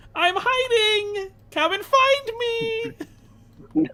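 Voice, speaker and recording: Extremely high pitch in a put-on character voice. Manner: playful, teasing.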